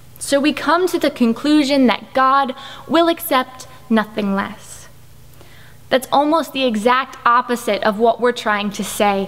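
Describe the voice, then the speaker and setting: Over noticeable background noise, a woman talks in a high pitch with ordinary pitch variation. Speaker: spoken word poet. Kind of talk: spoken word poetry performance.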